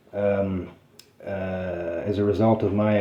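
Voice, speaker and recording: Amid noticeable background noise, a man with a fairly low pitch talks with fairly even intonation. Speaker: citizen journalist and activist, criminal defendant. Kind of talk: casual conversation with attorney. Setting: attorney's office meeting. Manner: fast; hesitant, many fillers.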